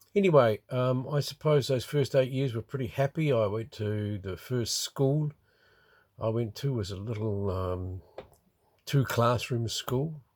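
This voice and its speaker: On a very clean recording with a silent background, a man with a New Zealand accent speaks at a medium pitch, somewhat breathy, at a fairly slow pace with ordinary pitch variation. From New Zealand, Wellington region. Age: 70s. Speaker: retiree recording a memoir. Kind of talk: personal memoir monologue. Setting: in a motorhome by a river. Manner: halting, many fillers.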